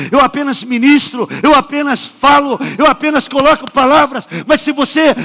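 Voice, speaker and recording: The man's pitch is extremely high, and his pace is moderate. There is noticeable background noise. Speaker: pastor. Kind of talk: sermon. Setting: church. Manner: animated.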